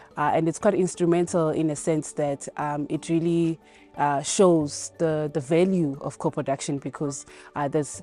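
A woman speaks at a moderate pace in a very deep, low pitch with fairly even intonation. Faint music plays behind her dry, echo-free voice. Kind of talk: interview answer. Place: garden.

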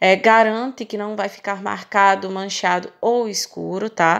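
Against a quiet background, a woman with a Brazilian accent speaks at a fairly slow pace with ordinary pitch variation. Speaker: makeup artist. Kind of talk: tutorial. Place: shop.

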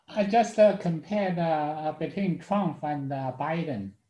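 The background is quiet. Room echo is audible. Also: man. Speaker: student. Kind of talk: casual chat. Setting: video call. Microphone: video call.

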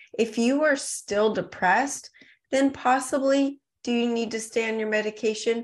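Over a quiet background, a woman with an American accent talks in an ordinary speaking voice at a moderate pace with ordinary pitch variation. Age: 40s. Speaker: supplement company founder. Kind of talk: podcast interview.

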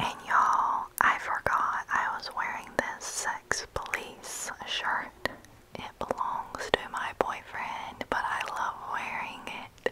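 The woman speaks in a whisper. She goes very slowly. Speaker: home vlogger. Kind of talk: casual vlog chat. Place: home room. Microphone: earbuds.

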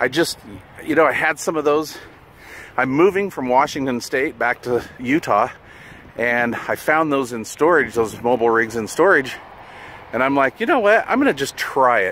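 A man speaks at a moderate pace, with long, frequent pauses. The sound is dry with no echo, over light background noise. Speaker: CB radio hobbyist. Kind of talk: casual vlog chat. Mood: relaxed, enthusiastic. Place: open country. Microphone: phone near.

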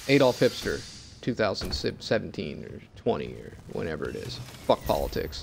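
Over music in the background, a man with an American accent speaks fairly slowly in a very deep, low pitch with very wide pitch swings. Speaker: gaming YouTuber. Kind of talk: profane political rant over gameplay. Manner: angry, run-on, expletive-laden tirade; breathless and escalating, laughing bitterly at the absurdity.

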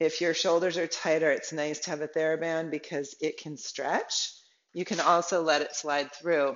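A woman speaks at a moderate pace in a very deep, low voice with monotone, flat intonation. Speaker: yoga instructor. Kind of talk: tutorial. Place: home room. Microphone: camera far.

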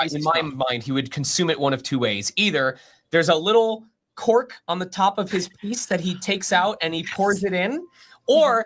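This man talks at a moderate pace with very wide pitch swings. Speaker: guest. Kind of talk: casual anecdote in group chat. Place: home room.

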